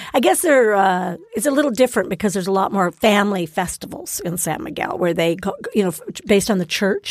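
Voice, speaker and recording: A woman with an unremarkable speaking voice talks at a fairly quick pace and medium pitch, with ordinary pitch variation. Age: 60s. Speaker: guest discussing places she has lived. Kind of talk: casual chat.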